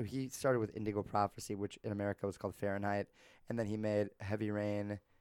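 The man's fairly low voice comes through in a very clean recording, with total silence behind it. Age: 20s. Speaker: podcast co-host. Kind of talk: casual chat.

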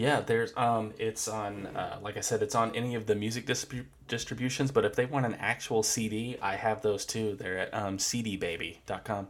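A man with an American accent talks at a medium pitch and moderate pace, with hardly any pauses. His intonation is fairly even, and noticeable background noise is present. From Florida. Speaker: guitarist and music producer. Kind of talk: interview. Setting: video call. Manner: halting.

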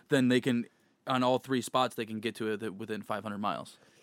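A normal speaking voice goes at a fairly quick pace, in a very clean recording with a silent background and a dry, close sound with no echo. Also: man. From born in Kansas, moved in fifth grade. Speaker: podcast host. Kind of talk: casual chat.

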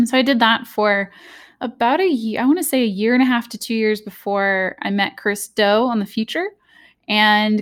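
A moderate pace and ordinary pitch variation in an American accent, on a very clean recording with a silent background. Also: woman. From Southern California, US. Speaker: graphic designer and brand strategist. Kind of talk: interview.

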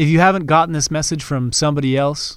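Over a very clean recording with a silent background, a man with a western Canadian accent speaks at a fairly high pitch. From Canada. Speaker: podcast host, real estate investor. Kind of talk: casual monologue. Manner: off the cuff.

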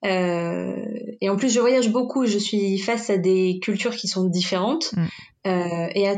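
A woman speaks at a fairly slow pace with ordinary pitch variation and very even loudness. Audible room echo can be heard. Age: 20s. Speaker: project manager. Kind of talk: coaching conversation. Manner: hesitant.

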